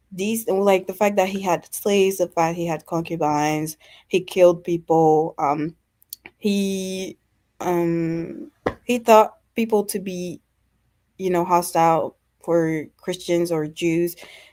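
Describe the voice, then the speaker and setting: Speaking very slowly with a non-native accent, a woman's fairly low voice keeps a fairly even intonation on a very clean recording with a silent background. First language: not English. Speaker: caller. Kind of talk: testimony. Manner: hesitant, many fillers.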